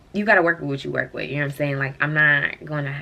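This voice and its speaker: This woman has a very deep, low pitch with vocal fry. Her tone is bright and sharp. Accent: American. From Ohio. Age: 20s. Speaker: vlogger. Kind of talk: casual rant to camera. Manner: fast; animated.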